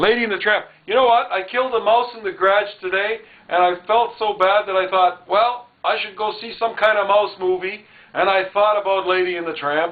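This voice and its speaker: The speech moves at a fairly quick pace with noticeable background noise behind it. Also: man, high pitch for a man. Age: 50s. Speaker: channel host. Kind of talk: casual chat. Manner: animated.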